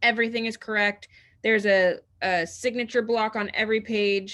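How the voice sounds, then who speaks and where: A woman talks at a fairly quick pace, her voice fairly high and her tone bright and sharp. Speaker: real estate trainer. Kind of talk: tutorial. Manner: fast; animated.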